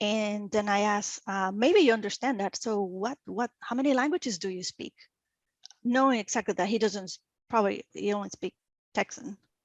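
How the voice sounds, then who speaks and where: A woman with a Venezuelan accent speaks at a moderate pace and medium pitch, with ordinary pitch variation. The sound is dry and close with no echo, over a quiet background. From Venezuela (Caracas). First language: Spanish. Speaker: energy industry professional. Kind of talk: interview. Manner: halting, many fillers.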